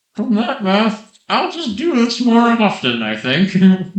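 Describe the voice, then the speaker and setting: A man speaks fairly slowly in a high-pitched, put-on character voice. There's a slight echo. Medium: actual play.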